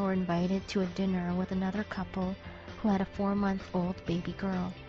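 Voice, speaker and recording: With music playing in the background, a woman speaks at a moderate pace and a medium pitch. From Canada. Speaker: English teacher. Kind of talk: personal essay narration.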